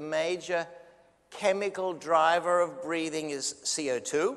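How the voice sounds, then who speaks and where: A high-pitched man's voice with an Australian accent and fairly even intonation. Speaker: neonatologist, physician lecturer. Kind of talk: lecture.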